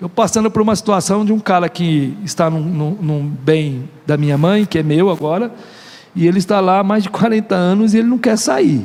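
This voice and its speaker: This man's voice sits high, moving at a moderate speed and varying in pitch in an ordinary way. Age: 50s. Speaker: pastor. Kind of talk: sermon. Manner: animated.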